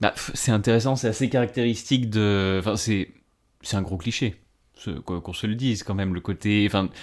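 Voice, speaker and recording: A man talks at a fairly slow pace with a fairly low pitch, on a very clean recording with a silent background. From northeastern France, Ardennes. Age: 20s. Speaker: civil servant. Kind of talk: casual interview. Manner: halting.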